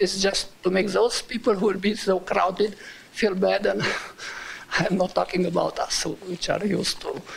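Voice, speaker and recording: A man talks at a moderate pace with a strong non-native accent. Background noise is noticeable. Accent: strong foreign. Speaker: resident giving public comment. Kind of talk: public comment. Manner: halting.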